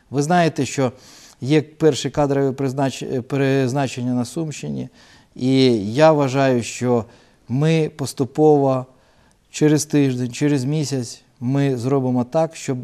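A man with a dark, mellow tone speaks in a fairly even intonation, leaving long, frequent pauses. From Ukraine, Shostka (Sumy region). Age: 40s. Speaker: regional governor, politician. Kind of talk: TV interview. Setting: TV studio, live broadcast.

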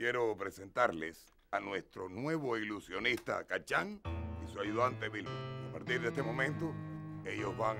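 Clear music can be heard in the background. Over it, a man talks fairly slowly. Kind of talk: scripted drama dialogue, announcement to group. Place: studio.

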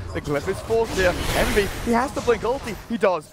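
An animated man with ordinary pitch variation over noticeable background noise. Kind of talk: esports commentary. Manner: fast, excitable play-by-play; animated, shouting at big kills.

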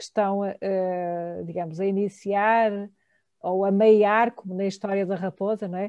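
A woman talks at a fairly slow pace with medium pitch and flat, monotone intonation. The sound is dry with no echo, and the background is quiet. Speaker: academic moderator. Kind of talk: moderated academic talk. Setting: video call. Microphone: video call.

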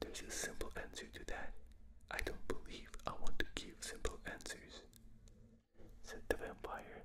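A man whispering in a gentle tone at a very slow pace, with a strong non-native accent. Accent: non-native, thick. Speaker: ASMR reader. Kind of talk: ASMR book reading. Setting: binaural recording. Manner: whispered; gentle, soft-spoken. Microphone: studio mic.

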